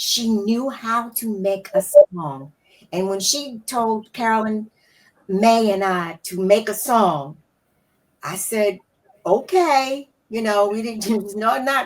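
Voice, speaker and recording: Speaking at a very slow pace with long, frequent pauses, a woman uses a fairly high pitch and lively intonation, her loudness swinging widely. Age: 80s+. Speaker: sorority alumna. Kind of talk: casual chat.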